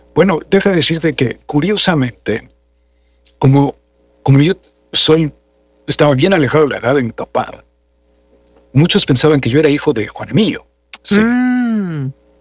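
Pausing long and often, a man speaks at a fairly high pitch with lively intonation in a dry sound with no echo. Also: moderate pace. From Mexico. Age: 60s. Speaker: voice actor and announcer; voice actor, announcer. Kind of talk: interview conversation. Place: home room. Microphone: studio mic.

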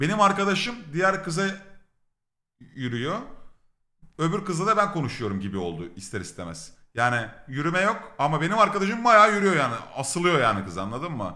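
A man's fairly high, bright, sharp voice with vocal fry, very wide pitch swings, a fairly quick pace, long, frequent pauses and audible room echo. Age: 30s. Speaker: streamer. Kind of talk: casual storytelling. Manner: animated, laughing.

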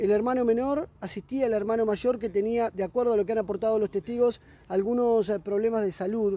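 A man with a dark, mellow tone and high pitch for a man speaks at a fairly quick pace with ordinary pitch variation, in a dry sound with no echo. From Argentina. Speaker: field reporter. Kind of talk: on-location news report. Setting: outdoors on the street. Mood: serious, somber news tone. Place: street. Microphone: handheld.

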